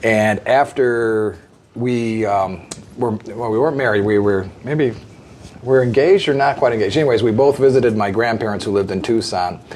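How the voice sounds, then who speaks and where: A man with an American accent talks at a moderate pace and medium pitch, with ordinary pitch variation. There is light background noise. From US Midwest, northeastern Illinois near Chicago. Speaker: podcast guest. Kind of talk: casual interview. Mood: calm, warm.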